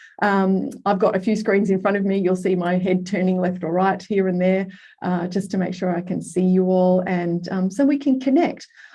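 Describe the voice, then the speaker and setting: The tone is dark and mellow, somewhat breathy, with fairly even intonation and hardly any pauses. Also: woman. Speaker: workshop facilitator, life coach. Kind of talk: online masterclass workshop. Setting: video call. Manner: fast; high energy.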